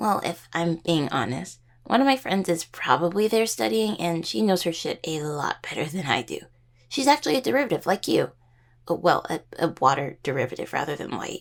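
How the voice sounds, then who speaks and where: A raspy, put-on character voice at a middle pitch and a fairly quick pace. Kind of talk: audio roleplay addressing the listener. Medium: audio drama. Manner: rambling, casual, self-correcting.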